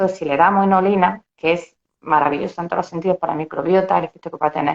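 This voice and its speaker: Talking at a fairly quick pace, a woman uses a normal speaking voice with fairly low pitch and fairly even intonation. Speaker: dietitian-nutritionist. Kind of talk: interview.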